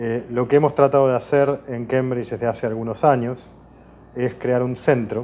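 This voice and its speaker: Flat and monotone, a man speaks at a medium pitch. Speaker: professor, water law researcher. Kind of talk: interview. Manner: hesitant, many fillers.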